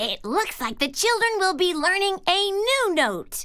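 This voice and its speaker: A put-on character voice, extremely high in pitch and at a moderate pace, over light background noise. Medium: read story. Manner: warm, encouraging.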